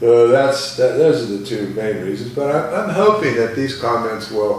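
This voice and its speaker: Noticeable background noise and audible room echo around a man speaking. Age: 60s. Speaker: falconer. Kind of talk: casual vlog talk to camera. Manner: halting, many fillers and repeats.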